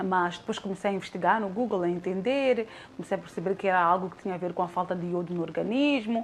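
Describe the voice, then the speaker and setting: Talking at a very fast pace, a woman speaks at a medium pitch. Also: ordinary pitch variation. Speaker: radio presenter. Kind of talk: testimony.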